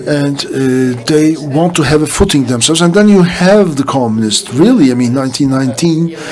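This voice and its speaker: Speech with hardly any pauses, over noticeable background noise. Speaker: conference interpreter. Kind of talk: panel presentation. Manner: fast; halting.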